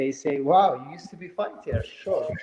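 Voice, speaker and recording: Noticeable background noise accompanies a man who talks at a moderate speed with a fairly high pitch. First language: not English. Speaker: former MMA fighter turned real estate developer. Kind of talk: interview. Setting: live stream.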